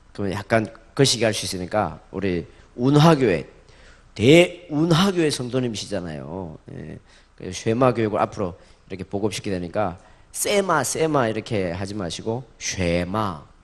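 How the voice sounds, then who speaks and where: Speaking at a moderate pace over a quiet background, the voice swings very widely in pitch and shifts greatly in loudness. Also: man, fairly low pitch for a man. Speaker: pastor. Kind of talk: sermon. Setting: church with congregation. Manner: call-and-response, leading congregation in repeating words.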